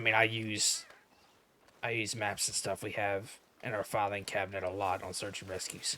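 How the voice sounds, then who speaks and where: In a raspy put-on character voice, the speaker talks at a moderate pace with monotone, flat intonation. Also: man, fairly low pitch for a man. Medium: game stream. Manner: casual, rambling, self-deprecating.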